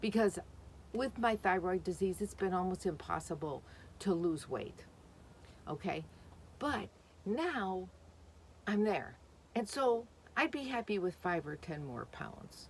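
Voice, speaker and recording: Speaking at a fairly slow pace with long, frequent pauses, a woman uses a medium pitch, lively intonation and some vocal fry. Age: 60s. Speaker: vlogger. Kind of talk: casual vlog talk. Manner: chatty, rambling with fillers.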